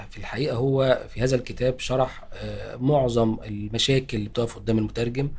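Monotone, flat delivery from a man at medium pitch, moving at a fairly quick pace. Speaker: university dean and translator. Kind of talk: interview.

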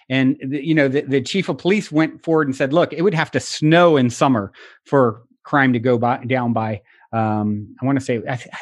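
A man speaks in an ordinary speaking voice at a medium pitch. His pace is fairly quick, with ordinary pitch variation over a quiet background. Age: 40s. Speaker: podcast host and mindset speaker. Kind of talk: interview conversation.

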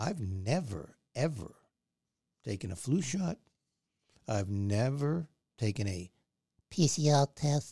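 A man with a dark, mellow, somewhat breathy tone speaks at medium pitch with very wide pitch swings. He goes at a very slow pace with long, frequent pauses, in dry, close sound with no echo. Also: very clean recording, silent background. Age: 60s. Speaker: podcast host. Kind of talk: opinionated monologue. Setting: studio.

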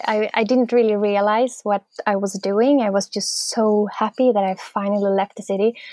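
In a Swedish accent, the speaker talks in a monotone, flat intonation with hardly any pauses. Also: woman, fairly high pitch for a woman, moderate pace, dry, close sound with no echo. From Sweden, near Gothenburg. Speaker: artist and musician. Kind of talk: interview, casual.

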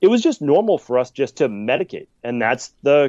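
A man with a normal speaking voice and fairly high pitch talks at a fairly quick pace, recorded dry and close with no echo against a quiet background. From Massachusetts, Boston area (Medford). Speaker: naturopathic and functional medicine practitioner. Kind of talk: podcast interview.

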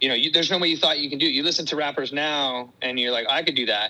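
A man speaks with a Californian accent. His pitch is fairly high, with ordinary variation. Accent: Californian American. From US West Coast, Fremont and Santa Cruz area, California. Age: 40s. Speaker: punk rock musician. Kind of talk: casual interview chat.

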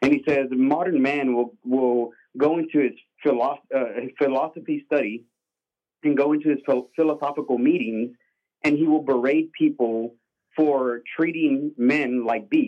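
A man's unremarkable speaking voice, fairly high in pitch, fairly even in intonation, at a moderate pace. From Mexican-American. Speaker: caller. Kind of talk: casual chat. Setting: phone call.

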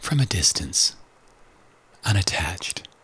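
With noticeable background noise behind him, a man speaks with lively intonation. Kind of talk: guided meditation.

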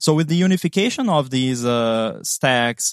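Speaking with a Portuguese accent, a man at medium pitch keeps a moderate pace in a dry, close sound with no echo. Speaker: app developer. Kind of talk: technical interview chat.

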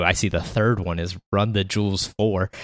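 A very clean recording with a silent background and a dry, close sound with no echo. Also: man. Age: 30s. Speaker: music podcast co-host. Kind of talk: casual chat. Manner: halting, frequent repetitions.

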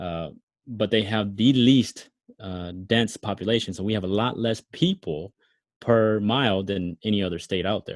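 Using an ordinary speaking voice, a man with an American accent speaks at a moderate pace, fairly low in pitch, with ordinary pitch variation. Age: 30s. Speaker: former mechanic and ex radio host. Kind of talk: casual interview chat.

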